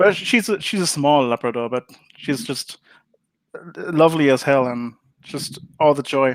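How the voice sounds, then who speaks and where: Speaking with a German accent, a man with a fairly high pitch moves at a moderate pace, using ordinary pitch variation and long, frequent pauses. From Germany. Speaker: board game designer. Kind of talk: interview. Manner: hesitant, many fillers.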